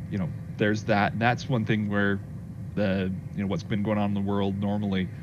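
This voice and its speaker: A man with an American accent and a fairly low pitch, in a room with audible echo. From Colorado, US. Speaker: livestream host. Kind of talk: casual livestream chat.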